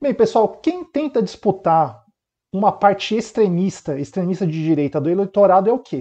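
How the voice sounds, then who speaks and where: High-pitched male voice, dark and mellow in tone, with lively intonation against a quiet background. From Brazil. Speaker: consumer lawyer and commentator; consumer lawyer, commentator. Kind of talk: news reading and commentary. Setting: home webcam recording. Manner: hesitant, many filler words.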